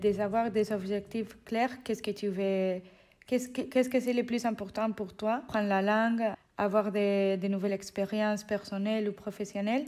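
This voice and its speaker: Over a silent background in a very clean recording, a woman with a Spanish accent speaks fairly slowly at a medium pitch, her tone dark and mellow and her intonation flat and monotone. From Spain. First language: Spanish (speaking French). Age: 20s. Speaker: civic service volunteer. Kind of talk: interview. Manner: halting.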